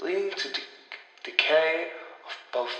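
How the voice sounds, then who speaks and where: A man talks over noticeable background noise. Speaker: horror storyteller / audio story narrator. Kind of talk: horror audio story narration.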